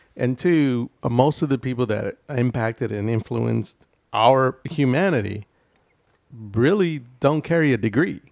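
An American man speaks in a normal speaking voice at a medium pitch and a fairly slow pace. The sound is dry and close with no echo, and the pitch varies in an ordinary way. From Houston, Texas (Denver Harbor). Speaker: podcast co-host. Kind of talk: casual chat.

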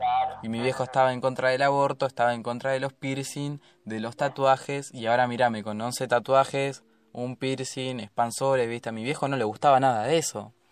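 A man's medium-pitched voice in a Rioplatense accent, monotone and flat, at a fairly quick pace against a quiet background. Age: young. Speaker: podcast host. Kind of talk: casual chat.

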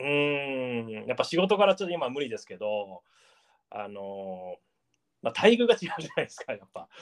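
The recording is dry and close, with no echo. A man with a fairly high pitch speaks at a moderate pace, his pitch swinging very widely and his loudness rising and falling sharply. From Japan, Gifu Prefecture. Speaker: artist. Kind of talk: casual interview.

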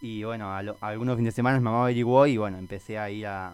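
A man at a fairly low pitch, very fast pace, and fairly even intonation. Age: 20s. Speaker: scout program coordinator. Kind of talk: radio interview.

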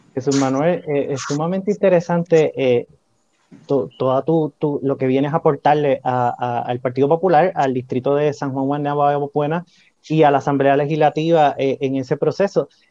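A man with a Puerto Rican accent and a dark, mellow tone, fairly high in pitch, with fairly even intonation at a moderate pace, in a dry, close sound with no echo. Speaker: podcast host. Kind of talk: political interview.

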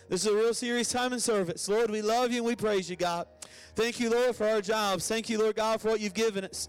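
With music in the background, a man speaks at a very fast pace in a high pitch and a warm, animated tone. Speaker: pastor leading the service. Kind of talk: church service opening: announcements, then fervent congregational prayer. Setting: church with congregation and online stream. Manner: warm, animated, call-and-response, urging the congregation to join in; fervent, rhythmic, repetitive prayer cadence building in intensity.

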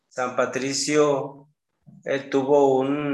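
This man's voice sits at a medium pitch. Room echo is audible around it. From Mexico, Jalisco. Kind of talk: casual interview.

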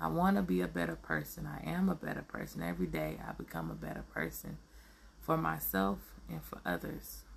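This woman's pitch is very deep and low, with vocal fry. Her pitch swings very widely. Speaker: podcast host. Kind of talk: motivational monologue. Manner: halting, many fillers.

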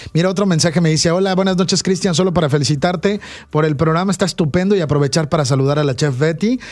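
A man talks at a very fast pace in a high voice. His loudness stays very even, with ordinary pitch variation. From Veracruz, Mexico. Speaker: radio host. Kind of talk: radio interview, conversational. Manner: animated, warm.

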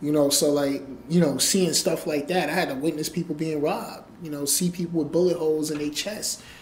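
Against noticeable background noise, a man with an American accent talks fairly quickly at a fairly high pitch and with fairly even intonation. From New York. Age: 30s. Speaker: entrepreneur and author. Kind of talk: interview.

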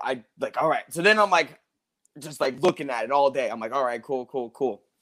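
Moderate-paced speech from a man with a fairly high pitch and ordinary pitch variation. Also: long, frequent pauses, big swings in loudness. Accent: American. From US South, Georgia. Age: 20s. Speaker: martial arts instructor. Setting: video call.

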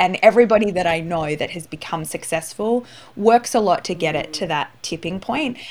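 With an Australian accent, a woman talks at a fairly quick pace, her fairly low pitch moving in a lively way. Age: 30s. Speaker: entrepreneur and business coach. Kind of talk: interview.

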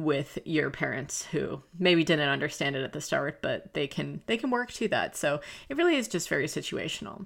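Speaking with an American accent, a woman with a very deep, low pitch and vocal fry talks at a fairly quick pace. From US South. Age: 20s. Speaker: podcast host and YouTuber. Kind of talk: casual advice podcast monologue.

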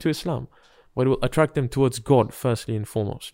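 A man talks at a very fast pace and medium pitch. The recording is very clean, with a silent background. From Britain. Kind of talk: religious discussion.

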